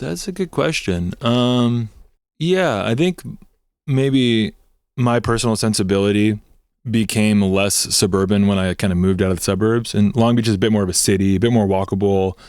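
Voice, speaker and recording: Speaking with a Southern California accent, a man with a fairly low pitch and ordinary pitch variation is heard in a very clean recording with a silent background. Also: moderate pace. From Southern California, Torrance. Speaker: punk band member. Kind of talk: casual interview. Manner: casual, filler-heavy.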